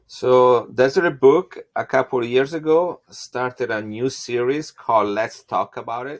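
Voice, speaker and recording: In an Italian accent, the speaker moves at a moderate pace with ordinary pitch variation, the sound dry and close with no echo. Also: man. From Italy. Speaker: geneticist. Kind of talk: interview. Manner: halting, many fillers.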